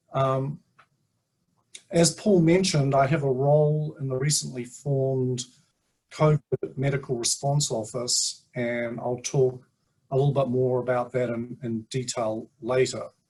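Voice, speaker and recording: With a New Zealand accent, a man speaks at a fairly slow pace and medium pitch in a dark, mellow, somewhat breathy tone, his intonation fairly even and marked by long, frequent pauses. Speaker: sleep scientist. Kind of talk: presentation at online community meeting. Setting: video call.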